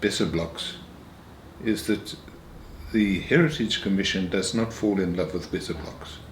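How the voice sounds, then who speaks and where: Amid noticeable background noise and audible room echo, a man with a fairly low pitch speaks at a moderate pace with ordinary pitch variation. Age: 80s+. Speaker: retired minister. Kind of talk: interview.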